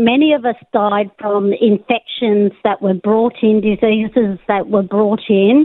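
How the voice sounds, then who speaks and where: With ordinary pitch variation, a woman talks at a fairly slow pace in a fairly high pitch. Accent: Australian. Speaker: caller, law academic. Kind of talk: radio call-in. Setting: phone call.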